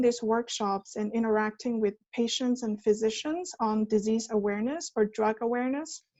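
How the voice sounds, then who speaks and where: Someone with a Chinese accent speaks at a moderate pace, with ordinary pitch variation. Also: woman. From China. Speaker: management consultant, former PhD researcher. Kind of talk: talk.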